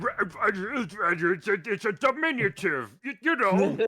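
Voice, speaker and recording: A man puts on a character voice, high-pitched, raised, and projected. He speaks at a very slow pace with very wide pitch swings. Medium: fan dub. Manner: brusque, accusatory.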